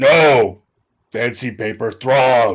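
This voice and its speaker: Raspy and medium in pitch, a man puts on a character voice. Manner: shouting.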